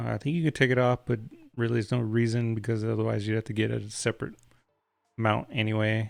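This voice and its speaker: Over music in the background, a man talks at a very fast pace in a monotone, flat intonation. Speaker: tech reviewer, streamer. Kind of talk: product review on live stream. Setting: live stream. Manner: casual, conversational.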